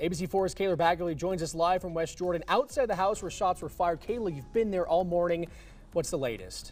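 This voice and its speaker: A man's high voice at a very fast pace with ordinary pitch variation, music playing in the background. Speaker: news anchor. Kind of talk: TV news anchor read.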